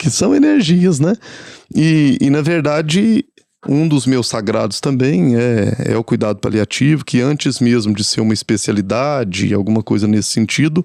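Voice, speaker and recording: The voice has a dark, mellow tone and a Minas Gerais accent. It moves at a moderate pace with lively intonation and very even loudness. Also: man, medium pitch for a man. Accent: Minas Gerais (mineiro). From Minas Gerais, Brazil. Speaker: palliative care nurse. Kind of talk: podcast interview. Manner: halting, many fillers and repetitions.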